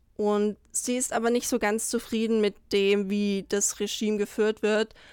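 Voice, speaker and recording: A woman's delivery is very slow, and her intonation stays fairly even. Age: 20s. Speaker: actress. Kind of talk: interview.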